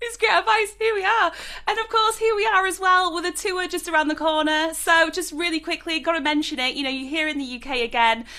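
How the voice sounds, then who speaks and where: A woman's raised, projected voice in a Yorkshire accent, extremely high and bright and sharp, animated with lively intonation, fairly quick with hardly any pauses. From South Yorkshire, northern England. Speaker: music interviewer. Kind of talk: interview. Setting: video call.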